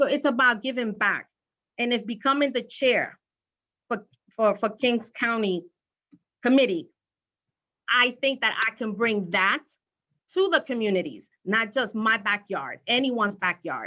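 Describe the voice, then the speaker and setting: In a Spanish accent, a woman with a fairly high pitch and a bright, sharp tone speaks at a fairly slow pace with ordinary pitch variation and long, frequent pauses. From Brooklyn, New York. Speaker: candidate for party county chair. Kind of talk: campaign speech at online candidate forum. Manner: hesitant, repeats words.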